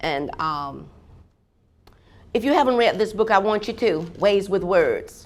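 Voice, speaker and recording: A woman's medium-pitched, animated voice in a Southern US accent, with audible room echo. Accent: Southern US (Georgia). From US South, Georgia. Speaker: professor. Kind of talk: keynote lecture. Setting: conference hall with audience. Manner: fast.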